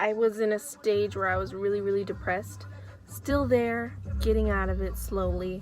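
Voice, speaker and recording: With audible room echo, a woman in an American accent speaks at a moderate pace. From Oakland, California (Bay Area). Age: 20s. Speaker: vlogger. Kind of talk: casual monologue vlog. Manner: hesitant, many fillers.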